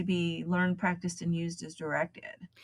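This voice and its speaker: A woman with a fairly low pitch and a somewhat breathy voice, recorded very cleanly against a silent background. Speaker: hypnobirthing program founder. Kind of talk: interview answer.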